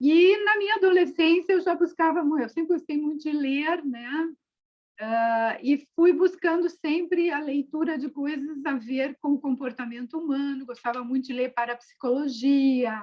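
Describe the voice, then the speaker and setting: A woman talks at a high pitch and fairly slow pace. Her pitch variation is ordinary. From southern Brazil, Porto Alegre. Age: 60s. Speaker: psychologist and author. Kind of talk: interview, personal life story.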